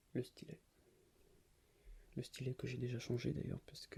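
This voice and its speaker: A man is whispering. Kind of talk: ASMR object show-and-tell. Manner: soft-spoken, whispered.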